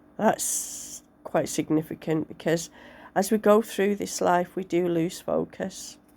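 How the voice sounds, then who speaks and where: Very slow and fairly low in pitch, a woman speaks in a dark, mellow tone with vocal fry. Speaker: tarot reader. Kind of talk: tarot reading to camera.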